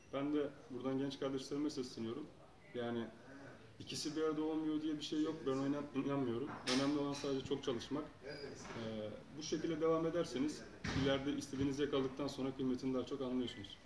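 Monotone, flat intonation from a very fast man amid noticeable background noise. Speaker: interviewee. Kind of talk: interview answer. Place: home room.

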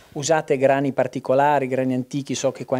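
A man's very fast speech in a dark, mellow tone with monotone, flat intonation. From Emilia-Romagna, Modena; Emilia-Romagna. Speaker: TV host. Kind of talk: on-location food segment. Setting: farmhouse kitchen. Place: kitchen. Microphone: lapel.

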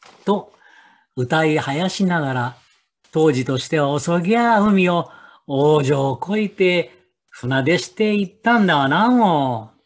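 Speaking very slowly with a Nagoya accent, a man with a fairly high pitch uses lively intonation against a quiet background. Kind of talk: folk tale storytelling.

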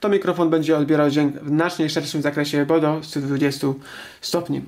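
The background is quiet. Speech moves at a fairly quick pace. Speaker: product reviewer. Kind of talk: product review narration. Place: home room.

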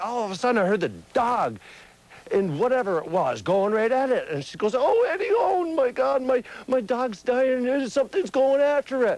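A man with a Vermont accent, extremely high in pitch, with lively intonation at a moderate pace. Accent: central Vermont. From central Vermont. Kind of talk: TV news interview answer.

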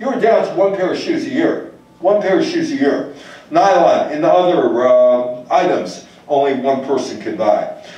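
At a fairly slow pace, a man talks amid audible room echo. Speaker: lecturer. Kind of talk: lecture. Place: hall.

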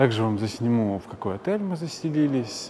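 A man talks at a fairly quick speed. Noticeable background noise sits behind his voice. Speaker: travel vlogger. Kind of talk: casual vlog chat. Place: station. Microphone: phone near.

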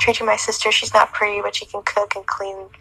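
A woman's raspy, put-on character voice at a medium pitch and a very fast pace. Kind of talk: casual live stream chat. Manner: joking, mocking.

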